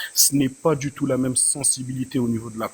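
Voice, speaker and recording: Delivered at a moderate pace, an ordinary speaking voice keeps a fairly even intonation. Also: man. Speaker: panelist. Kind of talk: heated debate. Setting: online live panel.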